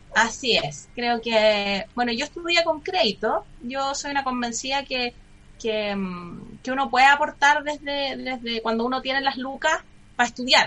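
In a high pitch, a woman speaks at a fairly slow pace with ordinary pitch variation. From Chile, Santiago. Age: 30s. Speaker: lawyer and public security official running for mayor. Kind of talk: radio interview.

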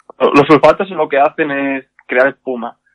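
This man keeps his intonation fairly even. His pitch sits in the medium range. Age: 30s. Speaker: hairdresser and makeup artist. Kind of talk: casual interview. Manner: hesitant, many fillers.

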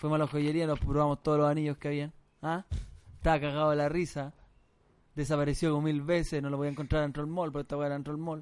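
A man with a Chilean accent talks at a very fast pace in a fairly high pitch. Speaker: comedy podcast co-host. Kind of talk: casual comedic banter. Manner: animated.

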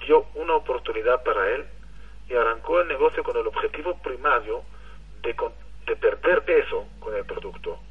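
With an Israeli accent, a man speaks with long, frequent pauses. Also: moderate pace. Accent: foreign (Israeli) accent in Spanish. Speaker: network marketing leader. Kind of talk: motivational testimony. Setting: phone call.

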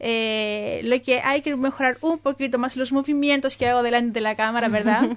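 At a moderate pace and with hardly any pauses, a woman talks in a high pitch with fairly even intonation. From Greece. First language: Greek (speaking Spanish). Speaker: student. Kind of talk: radio interview.

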